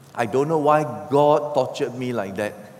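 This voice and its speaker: A man talks at an even, middling speed while clear background noise carries on behind him. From Singapore. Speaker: pastor. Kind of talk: sermon. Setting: church.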